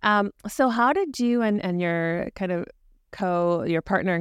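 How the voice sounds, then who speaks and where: A woman with an unremarkable speaking voice and lively intonation at a fairly slow pace, in a very clean recording with a silent background and a dry, close sound with no echo. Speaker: podcast host. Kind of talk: interview with promo reads.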